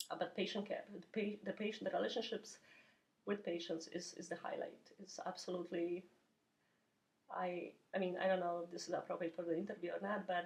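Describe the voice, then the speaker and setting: The speaker talks at a fairly quick pace yet leaves long, frequent pauses, with a somewhat breathy voice and monotone, flat intonation. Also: woman, medium pitch for a woman. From Poland. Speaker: oncology nurse. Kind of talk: interview. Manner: halting, many repetitions.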